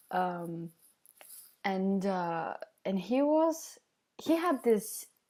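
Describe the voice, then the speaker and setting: With a non-native accent, a woman speaks in a dark, mellow tone with very wide pitch swings. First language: not English. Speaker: vlogger. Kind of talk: casual monologue vlog. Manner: halting, many fillers.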